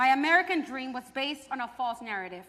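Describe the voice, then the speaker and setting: A woman speaks in a raised, projected voice at a high pitch. Her intonation is lively and her pace fairly quick. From Mexico and Fresno, California. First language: Spanish. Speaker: theater performer. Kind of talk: staged performance.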